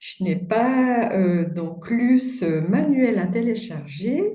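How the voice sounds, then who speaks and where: A woman talks with a Swiss French accent and very wide pitch swings. Audible room echo surrounds her. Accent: Swiss French (self-mentioned). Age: 60s. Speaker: meditation course participant. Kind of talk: group video call introduction. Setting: video call, camera off.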